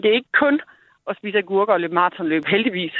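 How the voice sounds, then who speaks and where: The intonation here is lively. A woman delivers her words at a very fast pace. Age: 40s. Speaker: charity director. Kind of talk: radio interview.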